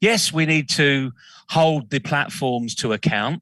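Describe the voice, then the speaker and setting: A man speaks passionately in a bright, sharp tone at a fairly high pitch with vocal fry, the sound dry and close with no echo over a quiet background. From northern England, Leeds. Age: 60s. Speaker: business consultant, CEO. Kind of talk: interview discussion.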